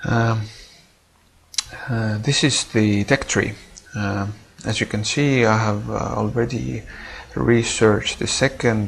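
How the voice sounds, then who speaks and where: Over noticeable background noise, a man with a non-native accent speaks at a fairly low pitch. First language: not English. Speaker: gaming video creator. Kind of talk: gameplay commentary. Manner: mumbling; halting, many fillers.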